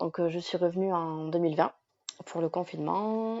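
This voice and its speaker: A woman at a moderate pace with a fairly low pitch. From France, Basque Country (Bayonne). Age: 30s. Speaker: digital nomad, travel communication agency owner. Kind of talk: podcast interview. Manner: hesitant, many fillers.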